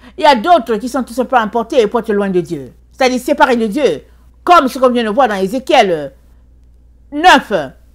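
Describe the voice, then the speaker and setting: Long, frequent pauses break up speech delivered at a moderate pace in a very clean recording with a silent background. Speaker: preacher. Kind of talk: sermon. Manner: fervent, exhorting.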